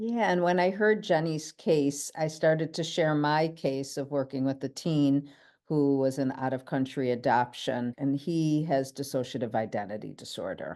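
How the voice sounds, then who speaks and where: Over a quiet background, a woman with an American accent speaks at a moderate pace with hardly any pauses, her very deep, low pitch and dark, mellow tone showing ordinary pitch variation. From Buffalo, New York, US. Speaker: therapist presenter. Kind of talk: conference promo chat.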